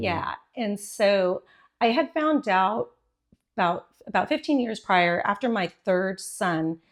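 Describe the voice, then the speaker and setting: At a very slow pace, a woman with a medium pitch speaks with lively intonation. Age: 50s. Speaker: fitness class leader. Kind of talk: podcast interview answer.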